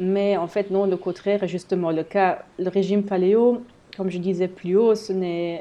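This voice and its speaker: A woman with a German accent speaks at a medium pitch and a fairly slow pace. Her tone is dark and mellow, her intonation monotone and flat. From eastern Belgium, German-speaking area. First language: German (speaking French). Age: 30s. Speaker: health blogger. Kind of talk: solo podcast monologue. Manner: hesitant, many fillers.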